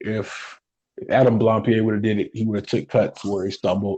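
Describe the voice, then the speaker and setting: The speaker is a man with a medium pitch. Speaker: wrestling podcast co-host. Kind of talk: casual chat. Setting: recorded live, unedited. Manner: halting, stumbling over words.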